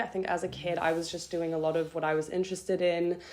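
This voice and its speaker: A woman with a German accent, medium in pitch. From France, near Geneva; later Zurich. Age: young. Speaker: university student. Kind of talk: casual interview chat. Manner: hesitant, many fillers.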